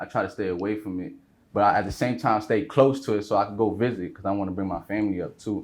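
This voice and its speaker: Very fast speech from a man with a New York accent, fairly low in pitch, with ordinary pitch variation. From New York, the Bronx. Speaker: rapper. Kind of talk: interview. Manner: casual.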